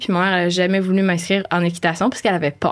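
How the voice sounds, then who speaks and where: A woman speaks with monotone, flat intonation. The recording is very clean, the background silent. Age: 20s. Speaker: animal communicator. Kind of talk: podcast interview. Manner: hesitant, many fillers.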